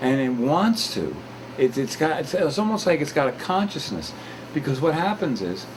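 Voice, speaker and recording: A man speaks at a moderate pace and a fairly high pitch, with very wide pitch swings. Noticeable background noise is present. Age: 60s. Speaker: talk show host. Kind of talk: casual chat. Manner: halting.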